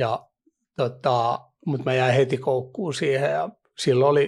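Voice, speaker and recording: On a very clean recording with a silent background, a man of medium pitch talks at a very slow pace. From Finland, Vantaa (Hakunila). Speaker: professional poker player. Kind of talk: interview. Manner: halting, many fillers.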